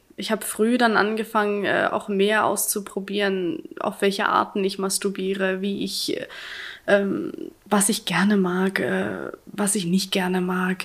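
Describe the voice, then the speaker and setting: At a very slow pace, a woman speaks in a medium-pitched voice with ordinary pitch variation. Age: 20s. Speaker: interview guest sharing personal story. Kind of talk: casual interview.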